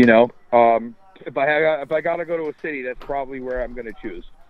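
Talking at a very fast pace with an American accent, a man shows ordinary pitch variation over noticeable background noise. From New York suburbs. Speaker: touring rock band member. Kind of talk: casual interview.

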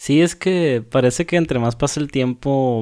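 A plain, everyday voice with ordinary pitch variation at a fairly slow pace. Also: man. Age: 20s. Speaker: podcast co-host. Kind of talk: casual chat. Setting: remote recording from separate homes.

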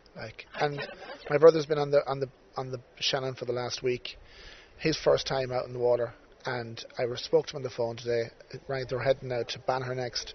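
A man at medium pitch, fairly quick and flat in a monotone, with big swings in loudness amid noticeable background noise. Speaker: podcast host. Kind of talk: casual interview chat. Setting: outdoors by the river.

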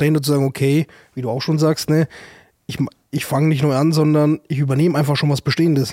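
A man with a fairly high pitch speaks very fast in a flat monotone, the sound dry and close with no echo. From Germany, Würzburg (Franconia). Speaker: startup advisor. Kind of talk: casual chat. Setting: studio.

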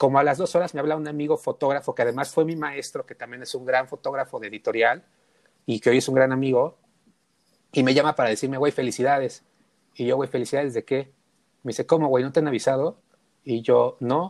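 In a dry, close sound with no echo, a man with a fairly high pitch talks at a very fast pace with fairly even intonation, yet leaves long, frequent pauses. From Mexico City (Tepito). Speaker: photographer. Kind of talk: casual chat.

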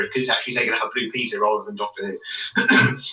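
A man is speaking. He has a British accent. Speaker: guest co-commentator. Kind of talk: casual chat.

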